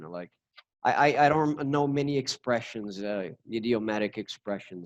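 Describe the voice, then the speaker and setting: With a Portuguese accent, a man speaks at a moderate pace. His intonation is lively. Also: dry, close sound with no echo. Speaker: YouTube host. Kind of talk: interviewer, casual talk.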